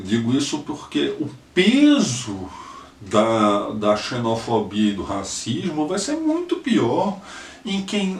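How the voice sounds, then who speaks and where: Against noticeable background noise and audible room echo, a man talks at a very slow pace. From Brazil, Northeast (Recife, Pernambuco). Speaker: lawyer, political activist. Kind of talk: personal testimony, video message. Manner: halting, many fillers and repetitions.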